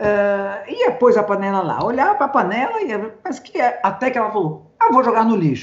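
Speaking at a moderate pace, a woman makes very wide pitch swings. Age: 60s. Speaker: social psychology professor. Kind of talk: casual interview. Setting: video call.

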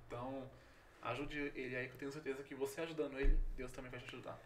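A man speaks at a fairly high pitch. The room echo is audible. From São Paulo, Brazil. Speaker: pastor and missionary. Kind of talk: casual interview.

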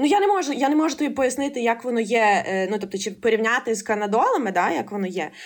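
A woman speaks at a high pitch and a very fast pace. Her pitch swings very widely. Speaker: ophthalmology intern and board game author. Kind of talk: casual interview.

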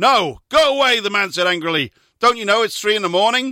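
A man speaks in a raised, projected voice that is high-pitched, bright and sharp, with very wide pitch swings. The pace is fairly quick, and the sound is dry and close with no echo. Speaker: radio host. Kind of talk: comedic banter while reading out jokes from a joke book, not stand-up.

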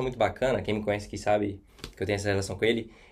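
A man speaks with a Minas Gerais accent. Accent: Brazilian Portuguese, mineiro. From Brazil, Minas Gerais (Contagem). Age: 20s. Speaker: hospitality and events worker abroad. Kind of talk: podcast interview.

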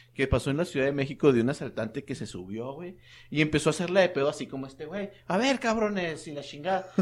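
A very clean recording with a silent background captures a man speaking at a very fast pace. His fairly high voice shows big swings in loudness. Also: lively intonation. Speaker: podcast co-host. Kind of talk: casual chat.

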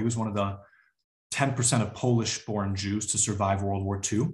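A somewhat breathy man with a Midwestern US accent, a fairly low pitch and fairly even intonation. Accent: US Midwest. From Chicago area, US Midwest. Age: 30s. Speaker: community organizer. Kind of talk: interview conversation.

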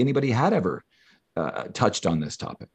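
Recorded dry and close with no echo, the voice races along at a very fast pace. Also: man. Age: 50s. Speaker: clinical social worker. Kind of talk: interview. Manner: halting.

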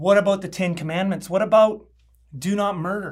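Speaking in a Canadian accent, a man keeps to a moderate pace. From Canada. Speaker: pastor. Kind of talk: sermon. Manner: conversational, frequent 'okay?' check-ins.

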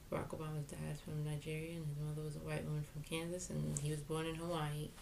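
A woman's very deep, low voice in an American accent, very fast and monotone in its flat intonation, with audible room echo. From New York, Jamaican heritage. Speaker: podcast co-host. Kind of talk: casual political chat.

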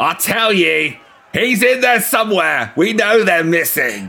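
His pace is fairly slow. The man uses a put-on character voice pitched high. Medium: actual play. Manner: belligerent, threatening, shouting.

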